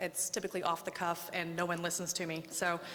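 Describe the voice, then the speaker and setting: A woman's fairly low-pitched voice with an American accent and a bright, sharp tone. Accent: Oklahoma accent, comes out when nervous. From Oklahoma, small town. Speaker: domestic violence survivor sharing her story. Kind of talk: public speech, personal testimony. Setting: public speech at the state house to a crowd. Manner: halting, many fillers.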